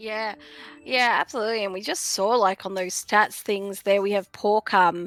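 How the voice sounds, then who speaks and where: A woman with an Australian accent speaks at a moderate pace in a medium pitch, her intonation fairly even. The sound is dry and close with no echo, and music plays in the background. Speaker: esports caster. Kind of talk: live commentary. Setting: live stream.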